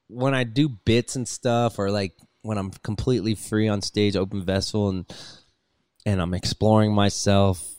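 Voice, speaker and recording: A normal speaking voice from a man with an American accent, fairly low in pitch, fairly even in intonation, at a moderate pace, in a dry, close sound with no echo. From US West Coast, Los Angeles. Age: 30s. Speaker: touring rock musician, band frontman. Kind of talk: casual chat. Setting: video call.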